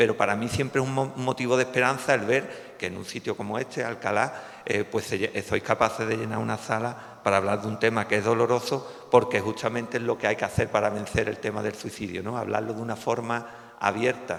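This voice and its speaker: At a fairly quick pace and medium pitch, a man talks in a flat monotone with hardly any pauses. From Cádiz, Andalusia, Spain. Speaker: psychologist, suicide prevention association president. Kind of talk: public talk. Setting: hall with audience. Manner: hesitant, with fillers and false starts.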